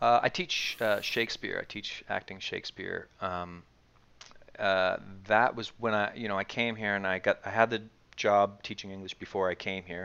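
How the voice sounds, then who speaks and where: A man with a Maritimes accent speaks at a fairly low pitch and a moderate pace, his intonation fairly even. His tone is bright and sharp, set against a quiet background. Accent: Canadian English (Maritimes). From Canada, Nova Scotia (Dartmouth). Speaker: actor and acting teacher. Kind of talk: casual interview chat.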